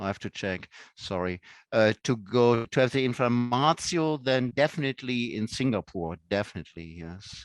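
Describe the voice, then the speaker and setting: A man with a German accent, medium pitch, lively intonation and a moderate pace, in a dry, close sound with no echo against a quiet background. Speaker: professor. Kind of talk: casual chat.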